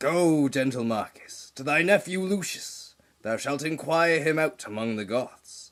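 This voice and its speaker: This is a man doing a put-on character voice. The pitch is fairly high. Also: moderate pace. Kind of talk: Shakespearean stage tragedy. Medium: stage play. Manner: declamatory.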